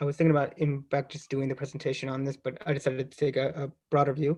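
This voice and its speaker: With an American accent, a man talks at a very fast pace in a fairly high, somewhat breathy voice. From US, Baltimore. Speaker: professor. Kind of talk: academic seminar talk. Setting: online seminar. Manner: hesitant, many fillers.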